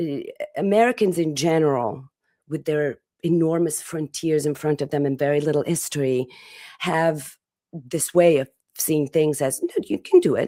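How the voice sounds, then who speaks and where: In an Italian accent, a woman speaks at a moderate pace with a very deep, low pitch. Her tone is dark and mellow, with ordinary pitch variation. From Italy. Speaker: podcast host. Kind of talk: interview answers, personal reflection. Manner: halting, with repeated words and fillers.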